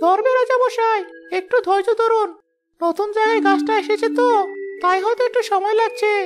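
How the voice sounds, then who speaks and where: Using a cartoonish character voice, a woman speaks at a moderate pace with very even loudness. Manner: smooth, flattering.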